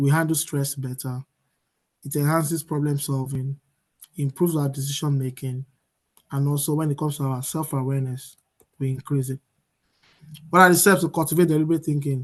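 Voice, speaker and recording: With long, frequent pauses, a man speaks in a somewhat breathy voice at a fairly high pitch and a monotone, flat intonation. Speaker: motivational speaker. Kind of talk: seminar presentation. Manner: fast.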